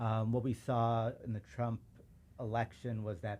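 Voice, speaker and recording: A man with a Chicago accent speaks at a fairly low pitch. His tone is dark and mellow. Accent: Chicago American English. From suburban Chicago. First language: Urdu. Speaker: civil rights lawyer. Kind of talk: casual chat.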